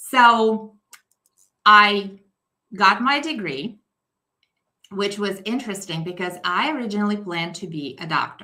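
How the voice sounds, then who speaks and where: A woman at medium pitch speaks fairly slowly, leaving long, frequent pauses. Her bright, sharp tone is animated, with lively intonation and big swings in loudness. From Belarus. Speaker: mindset coach. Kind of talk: podcast interview.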